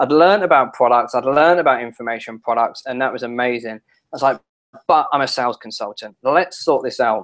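A man with a London accent speaks very fast against a quiet background. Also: ordinary pitch variation. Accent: English (London area). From England. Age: 30s. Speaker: internet marketing strategist; guest. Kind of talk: interview. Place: home room.

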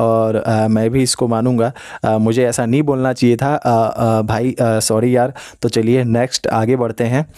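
A man's very slow, monotone delivery, dark and mellow in tone, flat in intonation and very even in loudness, in dry sound with no echo over a quiet background. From Uttarakhand village. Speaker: e-rickshaw driver and vlogger; vlogger answering comments. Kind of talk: Q&A vlog reading viewer comments. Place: home room. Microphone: phone near.

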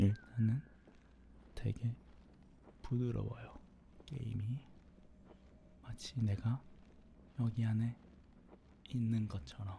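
Soft-spoken and very slow, the voice comes with long, frequent pauses. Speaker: gaming streamer. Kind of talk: live game commentary. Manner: quiet, soft-spoken.

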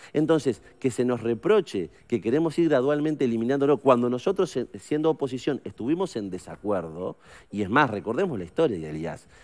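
A man with a Uruguayan accent talks at a fairly quick pace, his pitch swinging very widely. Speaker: politician, member of parliament; politician. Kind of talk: radio interview. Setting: studio. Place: studio. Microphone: headset.

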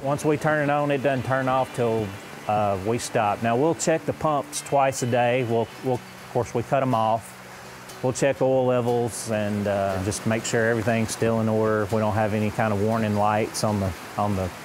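Speech comes at a moderate pace with very even loudness and ordinary pitch variation. Noticeable background noise is present. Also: man. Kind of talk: interview answer. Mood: calm explanatory. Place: open country. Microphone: lapel.

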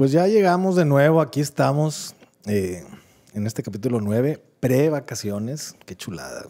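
A man speaks with a dark, mellow tone at a fairly slow pace. His pitch swings very widely, and his loudness rises and falls in big swings. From Mexico. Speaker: podcast co-host. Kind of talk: casual chat. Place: studio. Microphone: studio mic.

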